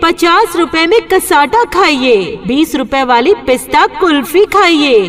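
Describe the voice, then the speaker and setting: The upbeat voice has lively intonation and very even loudness. Noticeable background noise runs underneath. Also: woman, extremely high pitch for a woman. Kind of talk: street vendor loudspeaker advertisement. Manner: upbeat, persuasive.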